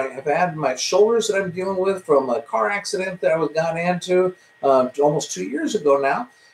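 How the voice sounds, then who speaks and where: Noticeable background noise sits behind a man whose high pitch carries lively intonation. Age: 60s. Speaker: self-improvement teacher. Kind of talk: live-streamed talk. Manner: halting, with many fillers.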